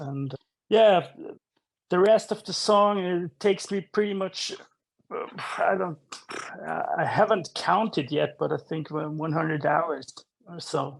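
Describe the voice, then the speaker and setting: A man's high voice at a fairly slow pace, with long, frequent pauses and ordinary pitch variation. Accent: non-native. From Switzerland. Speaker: rock musician. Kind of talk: interview. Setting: home studio. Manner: halting, many repetitions.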